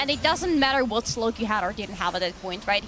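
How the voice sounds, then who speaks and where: Someone with a non-native accent talks at a very fast pace over noticeable background noise. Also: woman. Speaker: esports caster. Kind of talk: live commentary.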